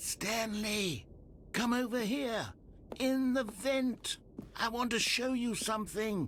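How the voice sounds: Using a put-on character voice, a man speaks at a slow pace with an extremely high pitch and a fairly bright tone. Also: ordinary pitch variation.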